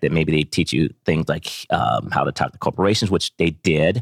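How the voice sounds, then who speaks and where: Speaking at a fairly quick pace, a man with a very deep, low pitch shows vocal fry and ordinary pitch variation, the sound dry and close with no echo. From Ohio. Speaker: tech startup founder. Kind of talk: interview.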